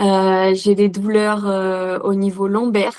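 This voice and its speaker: The woman's tone is dark and mellow. Her background is quiet. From central France, Corrèze. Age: 20s. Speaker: patient sharing her experience. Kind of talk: interview testimony. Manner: hesitant, many fillers.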